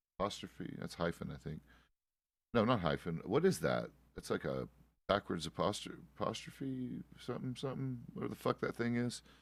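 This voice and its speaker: A man speaks at a moderate pace with vocal fry, his medium pitch making very wide swings. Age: 30s. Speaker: streamer playing roleplay game. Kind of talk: casual chat. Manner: halting.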